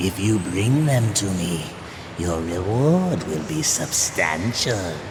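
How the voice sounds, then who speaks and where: A man uses a cartoonish character voice with a very deep, low pitch. He talks at a fairly slow pace over loud background noise. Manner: silky, wheedling.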